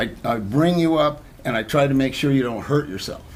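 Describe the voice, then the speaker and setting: A man's ordinary speaking voice: medium pitch, ordinary pitch variation, moderate pace. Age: 60s. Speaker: personal trainer. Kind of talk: talk show interview.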